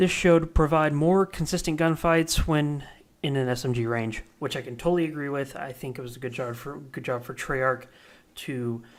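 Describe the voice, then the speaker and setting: A man's medium-pitched voice, ordinary pitch variation, moderate pace, very clean recording and silent background. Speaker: gaming YouTuber. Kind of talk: casual video commentary reading patch notes. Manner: halting, stumbles over words; casual, filler-heavy.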